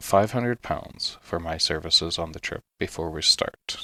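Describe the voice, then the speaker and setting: A man speaks at a fairly slow pace in a gentle, soothing tone that is also bright and sharp. The recording is very clean with a silent background and a dry, close sound with no echo. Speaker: sleep story narrator. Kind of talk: sleep story reading.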